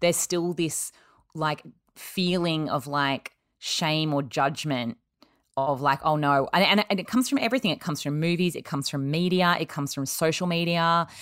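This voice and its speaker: In a very clean recording with a silent background, a woman with an Australian accent speaks at a moderate pace. Her pitch is very deep and low, with ordinary variation. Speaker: podcast host. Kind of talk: casual chat.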